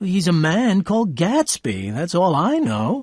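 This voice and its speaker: Putting on a character voice, a man speaks at a high pitch and a fairly slow pace with very wide pitch swings. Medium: read story. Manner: casual, nonchalant.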